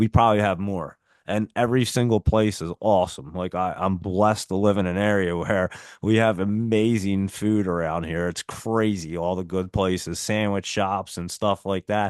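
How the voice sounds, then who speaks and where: An animated man speaks at a moderate pace with a strong New Jersey accent, his pitch fairly low. The sound is dry and close, with no echo. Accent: heavy Northeast US (New Jersey). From South Jersey, near Philadelphia. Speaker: stock market streamer. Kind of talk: live stream chat.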